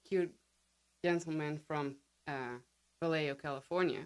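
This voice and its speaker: The recording is very clean, with a silent background. A speaker with a Dutch accent talks at a fairly slow pace with fairly even intonation. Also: woman. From Netherlands. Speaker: podcast guest, writer and copy editor. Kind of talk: interview. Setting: studio.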